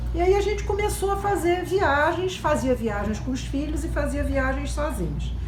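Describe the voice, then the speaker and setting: A woman talks at a moderate pace with hardly any pauses. Noticeable background noise sits behind her. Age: 60s. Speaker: travel blogger, retired teacher. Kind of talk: personal testimony.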